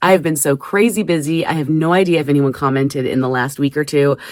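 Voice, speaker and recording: The recording is very clean, with a silent background. A woman talks at a fairly quick pace with ordinary pitch variation. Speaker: crafting YouTuber. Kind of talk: casual craft vlog. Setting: basement craft room. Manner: fast.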